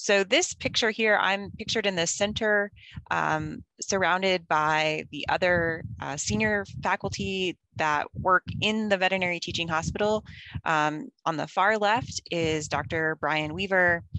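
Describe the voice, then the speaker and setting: Over a quiet background, a woman with a fairly low pitch speaks in a plain, everyday voice at a fairly slow pace, with ordinary pitch variation and a dry sound with no echo. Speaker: veterinary professor presenter. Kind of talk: lecture. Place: car. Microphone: video call.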